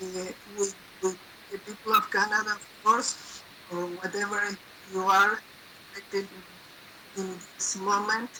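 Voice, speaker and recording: A woman with a non-native accent speaks at a moderate pace in a medium pitch, her intonation monotone and flat, with long, frequent pauses and noticeable background noise. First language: not English. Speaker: representative of an organization at the United Nations. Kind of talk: online gathering address. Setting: online video event. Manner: halting, many fillers.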